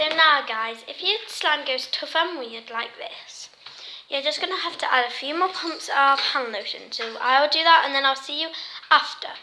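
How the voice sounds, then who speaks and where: A woman with a high pitch raises and projects her voice, with ordinary pitch variation and big swings in loudness. Noticeable background noise sits behind her. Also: moderate pace. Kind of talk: casual craft tutorial talk to camera.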